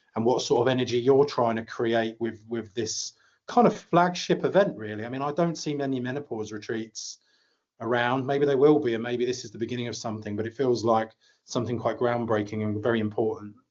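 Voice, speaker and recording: A man at a medium pitch talks at a fairly quick pace with ordinary pitch variation, in a plain, everyday voice. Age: 40s. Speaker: podcast host. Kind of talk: podcast interview.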